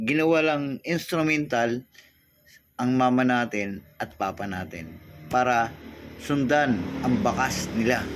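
A man's medium-pitched voice at a very slow pace, lively in intonation, over music in the background. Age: 60s. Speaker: vlogger. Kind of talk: inspirational monologue.

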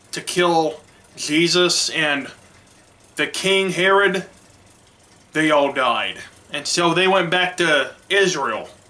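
A man talks at a very slow pace with a high pitch and fairly even intonation. Long pauses come often. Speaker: church media ministry director. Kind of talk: sermon; sermon-style Bible retelling. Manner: halting, many restarts and fillers. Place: home room. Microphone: webcam.

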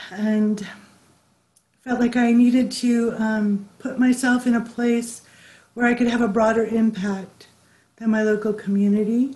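In an American accent, a woman with a dark, mellow tone and a fairly high pitch speaks at a fairly slow pace in a monotone, flat intonation, leaving long, frequent pauses. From California. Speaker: public health official; panelist. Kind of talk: panel discussion. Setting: video call. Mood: earnest, reflective. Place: home room. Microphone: video call.

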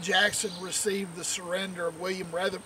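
A man with a high voice talks in a monotone, flat way, the sound dry with no echo and noticeable background noise behind him. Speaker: presenter. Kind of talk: casual history talk. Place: open country.

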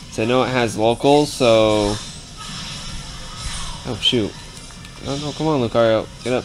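Clear music plays in the background as the speaker talks at a moderate pace with long, frequent pauses. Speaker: gaming video creator. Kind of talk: casual gameplay commentary. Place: home room.

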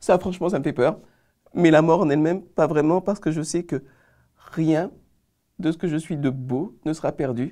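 Long, frequent pauses at a moderate pace in a very clean recording with a silent background. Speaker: Adventist pastor. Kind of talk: religious panel discussion. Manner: halting, repeating words.

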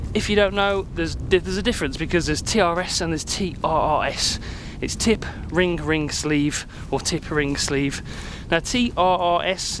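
A man's high-pitched voice at a moderate pace, with ordinary pitch variation, a dry sound with no echo, and noticeable background noise. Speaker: gear reviewer. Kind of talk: casual vlog chat. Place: open country. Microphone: phone near.

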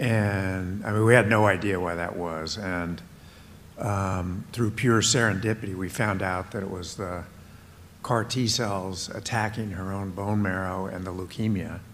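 Talking at a fairly slow pace, a man with a fairly low pitch keeps his intonation fairly even. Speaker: immunologist. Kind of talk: onstage conversation. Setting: stage with audience. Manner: halting.

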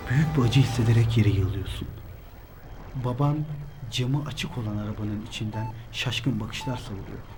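A man speaks in a dramatic tone at a moderate pace and medium pitch, with ordinary pitch variation, long, frequent pauses and big swings in loudness, as music plays in the background. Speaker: religious motivational speaker. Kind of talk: spoken word motivational monologue. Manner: direct second-person address, dramatic.

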